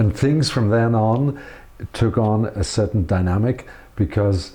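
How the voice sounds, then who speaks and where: A man speaks with a fairly low pitch and a dark, mellow tone that is somewhat breathy. His pace is fairly slow, with ordinary pitch variation. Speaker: interviewer. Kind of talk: interview questions.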